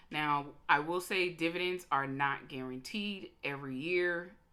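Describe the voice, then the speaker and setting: A woman's very deep, low pitch carries a bright, sharp tone with ordinary pitch variation. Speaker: insurance agent. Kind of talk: presentation. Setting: video call. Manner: fast; halting.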